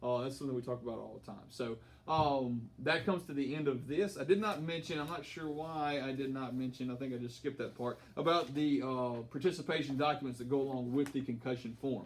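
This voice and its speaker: A man with an American accent at a fairly quick pace, ordinary pitch variation and hardly any pauses. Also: fairly high pitch for a man. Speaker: high school football coach. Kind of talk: informational briefing to parents. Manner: fast.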